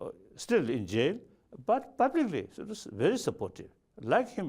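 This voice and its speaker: A man speaks at a moderate pace with a Tibetan accent. His loudness swings widely. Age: 70s. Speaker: spiritual leader. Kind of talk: interview answer.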